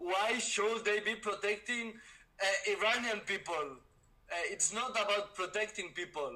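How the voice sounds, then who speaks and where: A man speaks in a raised, projected voice at a high pitch and a fairly slow pace, with a bright, sharp tone and ordinary pitch variation. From Spain. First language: Spanish. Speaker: debater. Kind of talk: heated debate.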